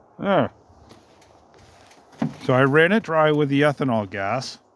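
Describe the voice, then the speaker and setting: A man speaks with ordinary pitch variation. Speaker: small engine DIY owner. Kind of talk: casual how-to talk to camera.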